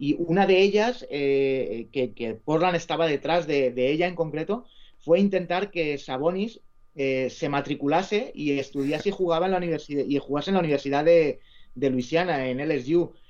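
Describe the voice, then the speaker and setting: This man talks at a fairly slow pace. His pitch is fairly high, with ordinary variation. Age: 40s. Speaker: sports journalist and author. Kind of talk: casual interview. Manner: halting, repeats words.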